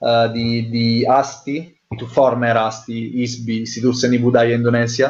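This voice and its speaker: Barely pausing, a man talks fairly slowly at medium pitch with monotone, flat intonation. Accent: Italian. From Italy. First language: Italian (speaking Indonesian). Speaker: anthropologist researcher. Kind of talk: interview. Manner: halting, many fillers.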